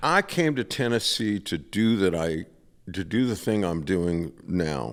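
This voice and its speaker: With a very deep, low pitch, a man speaks fairly slowly and with lively intonation. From Rhode Island. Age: 70s. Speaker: singer-songwriter and session musician. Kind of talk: radio interview. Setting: radio studio stage.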